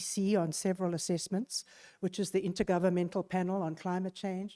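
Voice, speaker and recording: The voice has a dark, mellow tone and a very fast pace. The sound is dry and close with no echo, on a very clean recording with a silent background. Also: woman. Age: 60s. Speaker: climate researcher. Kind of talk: panel talk. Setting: conference room with audience.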